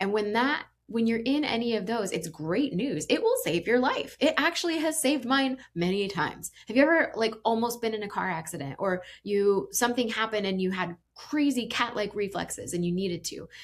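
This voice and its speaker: Barely pausing, an American-accented woman speaks at a fairly quick pace in a fairly high, animated voice with lively intonation. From Indiana, US Midwest. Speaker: executive coach and podcast host. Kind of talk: podcast monologue.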